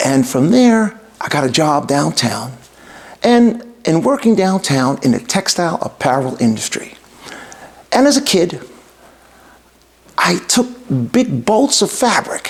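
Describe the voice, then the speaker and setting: A man in a New York accent, high-pitched with very wide pitch swings, at a fairly slow pace with very even loudness and long, frequent pauses. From New York City (Bronx). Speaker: entrepreneur and podcast host. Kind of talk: podcast introduction monologue. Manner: formal.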